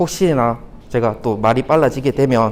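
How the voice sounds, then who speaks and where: A man speaks at a medium pitch, with ordinary pitch variation. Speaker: conference speaker, beginner app developer. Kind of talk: conference talk. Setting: stage with audience. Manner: fast.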